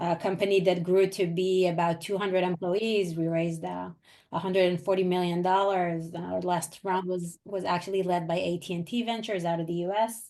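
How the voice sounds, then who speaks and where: A woman with an Israeli accent speaks in a fairly low pitch at a fairly quick pace with hardly any pauses, her dark, mellow tone paired with monotone, flat intonation against a quiet background. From Israel and US. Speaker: venture capital investor. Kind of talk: webinar presentation.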